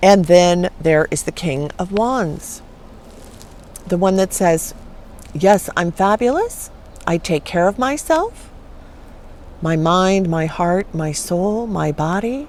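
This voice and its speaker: The speech moves at a very slow pace with long, frequent pauses. Background noise is noticeable. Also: woman, medium pitch for a woman, ordinary pitch variation. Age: 60s. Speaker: tarot reader. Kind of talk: tarot reading. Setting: outdoors, camping. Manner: animated.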